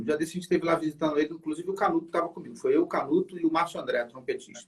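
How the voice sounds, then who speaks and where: Very rapid male speech, high in pitch, with ordinary pitch variation. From Brazil, Niterói (Rio de Janeiro). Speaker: saxophonist. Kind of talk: interview. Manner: casual, hesitant with repetitions.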